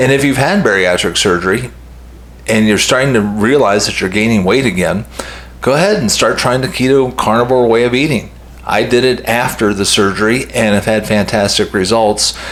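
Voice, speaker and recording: Over noticeable background noise and audible room echo, a man talks at a medium pitch with ordinary pitch variation. His pace is moderate and his loudness very even. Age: 60s. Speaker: health vlogger. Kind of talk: casual monologue to camera. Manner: conversational with hesitations.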